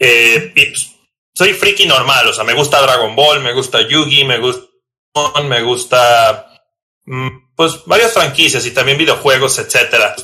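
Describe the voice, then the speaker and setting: Speaking with a northern Mexican accent, a man has a fairly high voice with a bright, sharp tone. He talks at a fairly slow pace with ordinary pitch variation. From Mexico, Tijuana, Baja California. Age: 30s. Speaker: competitive Pokémon card player. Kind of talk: casual interview chat. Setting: recording at night.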